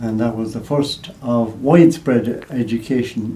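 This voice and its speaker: In an Irish accent, a man speaks at a fairly slow pace with medium pitch. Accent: Irish (Mayo). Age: 80s+. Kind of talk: interview answer.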